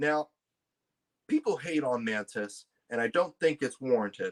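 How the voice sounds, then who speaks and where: A man speaks fairly slowly at a fairly high pitch, his voice swinging very widely in pitch, with a dry, close sound and no echo. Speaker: YouTube movie commentator. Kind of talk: casual commentary, tier list ranking. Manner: halting, many repetitions and restarts.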